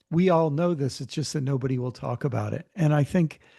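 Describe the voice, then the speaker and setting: A man's somewhat breathy, dark, mellow voice at a fairly high pitch with ordinary pitch variation, in an American accent. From US Mid-Atlantic, Maryland. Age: 60s. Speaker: author and theologian. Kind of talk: interview conversation. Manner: halting, many fillers and repeats.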